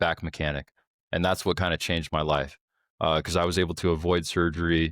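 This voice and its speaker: Recorded very cleanly against a silent background, a man's very deep, low voice sounds dry and close with no echo. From New York (Brooklyn). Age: 30s. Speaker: military and law enforcement veteran. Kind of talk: casual chat.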